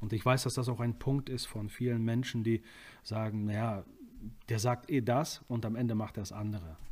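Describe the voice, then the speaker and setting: On a very clean recording with a silent background, a man with a normal speaking voice talks at a moderate pace and medium pitch, his intonation fairly even. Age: 20s. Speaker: prison ministry volunteer. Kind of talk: casual interview.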